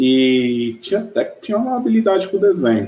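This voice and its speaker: This man's voice has a dark, mellow tone with very wide pitch swings. He talks at a fairly slow pace. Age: 40s. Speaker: e-commerce executive. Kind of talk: interview. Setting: live video stream.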